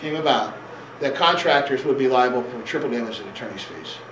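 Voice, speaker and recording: A man talks in a room with audible echo, noticeable background noise around his voice. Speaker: attorney presenting a seminar. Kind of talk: seminar lecture. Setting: seminar room with audience. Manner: fast; halting, many repetitions and fillers.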